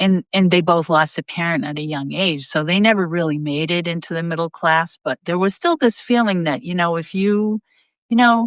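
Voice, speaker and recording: In an American accent, a woman with a plain, everyday voice speaks at a moderate pace and fairly low pitch, with ordinary pitch variation and a dry, close sound with no echo. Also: quiet background. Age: 60s. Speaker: state legislator. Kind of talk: interview conversation. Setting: live online video stream.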